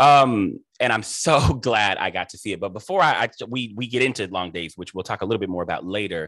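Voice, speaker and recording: An animated, lively-intoned American-accented voice at a moderate pace, bright and sharp in tone, with a dry, echo-free sound over a quiet background. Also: man. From Cleveland, Ohio; Ohio. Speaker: interview host and theater director; host interviewer. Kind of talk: interview. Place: home room. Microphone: video call.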